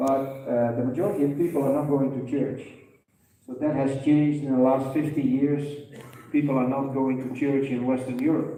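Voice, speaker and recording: Monotone, flat intonation runs at a moderate pace through audible room echo. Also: man, fairly high pitch for a man. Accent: Dutch. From Netherlands. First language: Dutch. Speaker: veterinarian. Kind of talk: lecture. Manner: halting.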